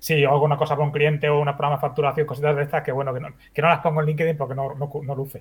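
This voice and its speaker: Very fast and monotone, a man talks in a somewhat breathy voice with a fairly high pitch and flat intonation. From Spain, Badalona (Catalonia). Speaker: video game developer. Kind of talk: interview.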